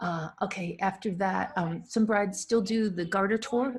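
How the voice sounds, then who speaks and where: Her voice is somewhat breathy, with a medium pitch and a New England accent. The woman's intonation is lively. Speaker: wedding photographer. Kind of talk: live Q&A monologue. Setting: live stream. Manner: animated.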